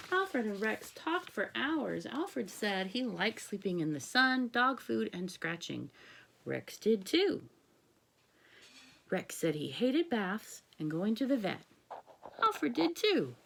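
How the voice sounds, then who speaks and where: A woman puts on a raspy character voice, fairly high and with very wide pitch swings. She goes at a fairly slow pace with long, frequent pauses. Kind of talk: read-aloud picture book. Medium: read story.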